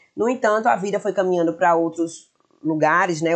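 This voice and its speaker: This voice belongs to a woman. Her intonation is lively. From Bahia, Brazil (Feira de Santana). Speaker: shop owner and influencer. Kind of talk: podcast interview. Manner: talkative.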